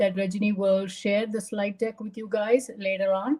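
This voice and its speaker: A woman speaks with a Tamil accent and a somewhat breathy quality. Her tone is dark and mellow. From India, Bombay. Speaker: retired pharma quality executive, speaker. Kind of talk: presentation talk.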